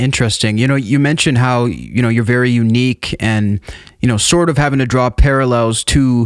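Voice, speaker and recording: A man speaks in a plain, everyday voice at a medium pitch. His pace is fairly quick and his intonation fairly even. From Canada, Edmonton. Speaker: podcast host. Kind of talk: interview.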